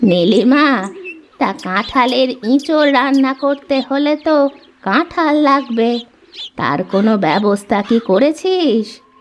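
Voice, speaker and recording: A woman does a cartoonish character voice, high-pitched and fairly slow. Her loudness stays very even. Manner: warm, affectionate.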